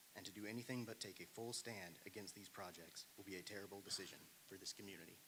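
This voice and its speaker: A man speaks in an American accent with a fairly low pitch and a bright, sharp tone. His pace is very fast and his intonation fairly even. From US South. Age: 30s. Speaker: public commenter. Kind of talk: prepared public comment speech. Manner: formal.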